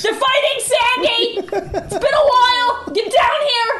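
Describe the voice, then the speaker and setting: Loud background noise sits behind a put-on character voice at an extremely high pitch. The pace is fairly slow. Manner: shouting, excited.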